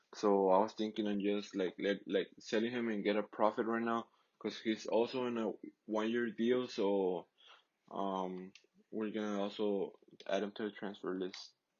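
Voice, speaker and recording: A man speaks with a Mexican accent at a fairly low pitch. His intonation is monotone and flat, and his pace is moderate. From Mexico. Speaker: gaming YouTuber. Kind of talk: gameplay commentary. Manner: casual, halting with repetitions.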